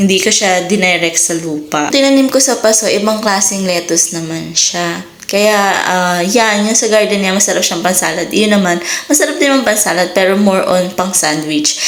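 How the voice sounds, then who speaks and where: Noticeable background noise and audible room echo around a woman's medium-pitched voice, moderate in pace with ordinary pitch variation. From Philippines. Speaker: vlogger. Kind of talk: casual vlog narration. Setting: home garden.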